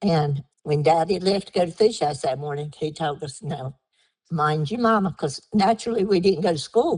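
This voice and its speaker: The delivery moves at a moderate pace with lively intonation. The voice is somewhat breathy. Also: woman, fairly low pitch for a woman. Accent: American. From Down East North Carolina, Harkers Island area. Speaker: oral history interviewee. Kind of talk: oral history interview.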